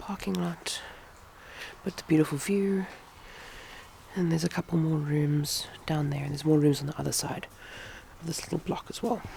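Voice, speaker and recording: Her pitch very deep and low, a woman talks at a moderate pace with ordinary pitch variation and long, frequent pauses. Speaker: craft vlogger. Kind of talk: casual vlog. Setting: echoey room then outdoors on a farm. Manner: chatty, informal. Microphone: echoey room.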